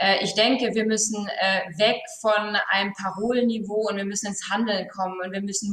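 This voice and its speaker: Audible room echo surrounds this recording of a woman. She speaks at a moderate pace in a medium pitch. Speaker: business owner; guest. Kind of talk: panel discussion. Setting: video call. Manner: hesitant, many fillers. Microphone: earbuds.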